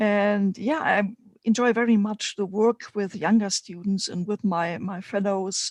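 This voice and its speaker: Someone with a German accent talks at a moderate pace on a very clean recording with a silent background. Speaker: spiritual mentor and teacher. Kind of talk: live stream panel chat. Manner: halting, many fillers.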